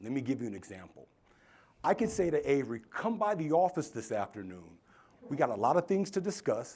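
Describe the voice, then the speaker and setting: Vocal fry runs through this man's fairly high-pitched voice. He talks at a fairly quick pace with very wide pitch swings. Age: 50s. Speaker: keynote speaker. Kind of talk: keynote speech. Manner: animated.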